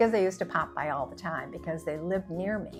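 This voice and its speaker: Over background music, a woman speaks at a fairly quick pace with a fairly low pitch and ordinary pitch variation. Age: 70s. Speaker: content creator. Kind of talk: casual talk to camera.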